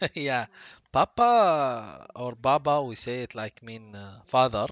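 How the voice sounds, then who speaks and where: Talking at a very slow pace, a man with a Gulf Arabic accent uses medium pitch and ordinary pitch variation, with big swings in loudness. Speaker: streamer. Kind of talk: casual chat. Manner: halting.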